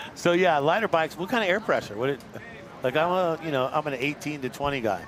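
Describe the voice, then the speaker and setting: A man talks very fast at a fairly high pitch. His intonation is lively, with noticeable background noise. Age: 60s. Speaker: sports commentator. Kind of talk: live sports commentary. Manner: conversational.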